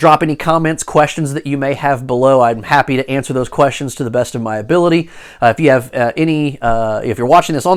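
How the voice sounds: Someone reads in a natural voice. The pitch rises and falls in an ordinary way.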